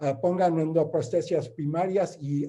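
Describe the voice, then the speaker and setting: Dark, mellow tone from a man with a non-native accent, fairly high pitch and ordinary pitch variation. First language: not Spanish (speaking Spanish). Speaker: interventional radiologist. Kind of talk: lecture. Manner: halting.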